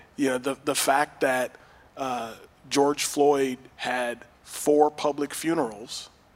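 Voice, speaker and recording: A man talks at a medium pitch in a monotone, flat intonation. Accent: American. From Pasadena, California. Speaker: police officer. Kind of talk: panel discussion.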